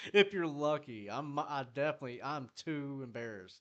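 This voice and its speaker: With a Southern US accent, a man talks at a moderate pace, his medium-pitched voice carrying lively intonation. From US South, South Carolina. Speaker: music producer streamer. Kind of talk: casual live stream chat. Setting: live stream. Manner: casual, profane.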